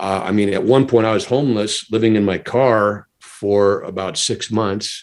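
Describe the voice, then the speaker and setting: A man with an ordinary speaking voice, moderate pace and fairly even intonation. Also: fairly low pitch for a man. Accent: American. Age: 60s. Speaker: stuntman, comedy magician and army veteran. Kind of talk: podcast interview.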